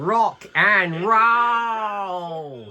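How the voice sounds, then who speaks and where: This is a put-on character voice. It sounds female and sits at a medium pitch for a woman. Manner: cheerful, cartoonish.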